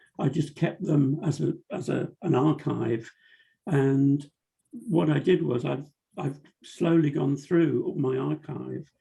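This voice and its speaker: Speaking very slowly, a man with a fairly high pitch, ordinary pitch variation, a dark, mellow tone and vocal fry is heard. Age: 70s. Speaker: cartoonist. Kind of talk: interview. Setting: video call.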